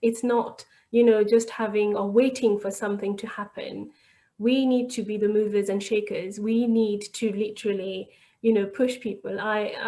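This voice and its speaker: A woman with a fairly high pitch and a dark, mellow tone talks at a moderate pace in a monotone, flat intonation. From France. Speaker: local councillor. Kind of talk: webinar panel answer. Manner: halting, many restarts.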